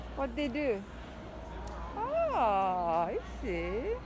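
A woman with a fairly high pitch speaks very slowly, her pitch swinging very widely over clear background noise.

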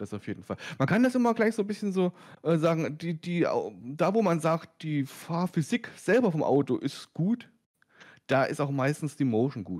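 On a very clean recording with a silent background, a man speaks at a moderate pace with a high pitch and very wide pitch swings. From Lower Saxony, near Wolfsburg. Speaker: sim racing YouTuber. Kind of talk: casual chat. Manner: halting.

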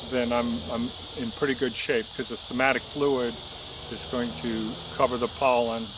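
The sound of a man's voice is dry, with no echo. Loud background noise is present. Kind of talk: casual explanatory tutorial. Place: garden.

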